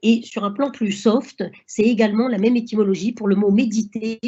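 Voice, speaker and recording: A woman speaks with a fairly high pitch. There is a somewhat breathy quality to her voice. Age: 60s. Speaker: doctor. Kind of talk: lecture. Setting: online seminar. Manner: halting.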